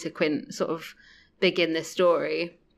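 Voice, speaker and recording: A woman with a fairly low voice speaks in fairly even intonation, an ordinary speaking voice on a very clean recording with a silent background. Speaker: podcast guest. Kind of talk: casual chat.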